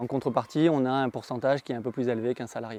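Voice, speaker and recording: At a very fast pace, a man speaks at a medium pitch in a dark, mellow tone with fairly even intonation, the sound dry and close with no echo. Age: 30s. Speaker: real estate agent. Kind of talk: testimonial interview.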